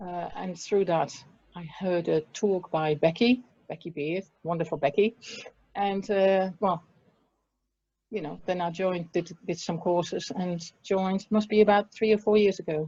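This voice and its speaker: With a Dutch accent, a woman speaks fairly slowly in a dark, mellow tone at medium pitch, her loudness swinging widely. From Netherlands. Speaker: restorative justice practitioner and prison support worker. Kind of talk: interview.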